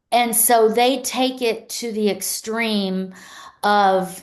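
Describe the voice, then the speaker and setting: Her intonation fairly even, a woman speaks in a Pennsylvania accent. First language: Pennsylvania Dutch. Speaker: luxury real estate agent. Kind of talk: podcast interview answer.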